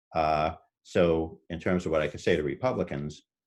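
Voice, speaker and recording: Delivery is fairly quick and monotone, with flat intonation. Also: man. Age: 60s. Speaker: political candidate. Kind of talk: candidate forum answer. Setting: video call. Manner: halting, many fillers.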